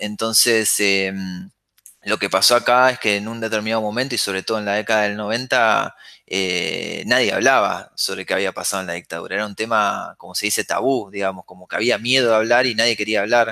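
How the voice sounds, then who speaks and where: Moving at a fairly quick pace, a man with a bright, sharp tone keeps his intonation fairly even. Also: fairly low pitch for a man. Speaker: filmmaker. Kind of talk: interview conversation. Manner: halting with repetitions.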